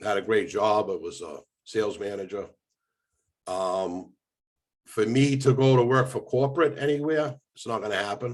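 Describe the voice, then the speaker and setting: A man with an American accent speaks at a moderate pace and medium pitch, with ordinary pitch variation, big swings in loudness, and long, frequent pauses. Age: 60s. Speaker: former mobster. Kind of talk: interview.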